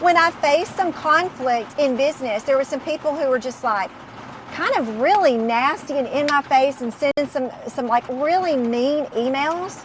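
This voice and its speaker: Loud and high-pitched, a woman speaks with lively intonation against noticeable background noise. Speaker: business owner and Bible study host. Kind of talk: casual faith-based study discussion.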